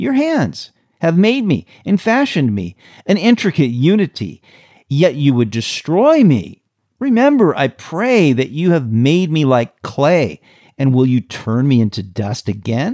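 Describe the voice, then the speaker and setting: A man with an American accent speaks fairly slowly at a fairly high pitch, his tone dark and mellow with very wide pitch swings. The recording is very clean with a silent background, the sound dry and close with no echo. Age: 60s. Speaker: pastor. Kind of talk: sermon. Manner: calm, measured.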